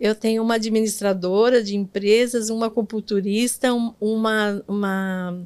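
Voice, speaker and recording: With hardly any pauses, a woman talks at a fairly slow pace and fairly high pitch in a monotone, flat intonation. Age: 70s. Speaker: NGO director and former teacher. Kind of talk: interview. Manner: halting.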